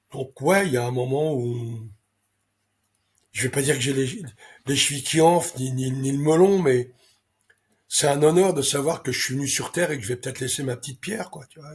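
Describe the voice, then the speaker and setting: A fairly high-pitched, somewhat breathy man at a moderate pace, with ordinary pitch variation, big swings in loudness and long, frequent pauses. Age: 70s. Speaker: racehorse owner and breeder. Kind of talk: interview. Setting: interview. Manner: hesitant, many fillers.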